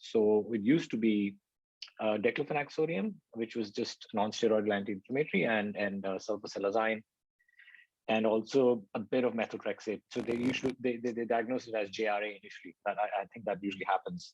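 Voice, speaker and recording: This man has a normal speaking voice, medium in pitch, with fairly even intonation and a fairly quick pace. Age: 30s. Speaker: patient panelist. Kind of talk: patient testimony. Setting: online video event.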